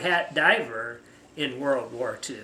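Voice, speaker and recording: A man talks at a very slow pace. The recording has audible room echo and noticeable background noise. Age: 70s. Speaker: retired physical therapist. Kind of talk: family interview. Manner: halting.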